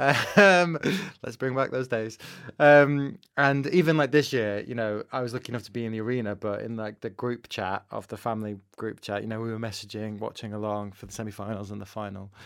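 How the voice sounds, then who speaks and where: On a very clean recording with a silent background, a man with a Manchester accent speaks fairly quickly at a medium pitch, with ordinary pitch variation and big swings in loudness. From northern England, Manchester. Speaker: broadcast journalist and podcast host. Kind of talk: casual interview.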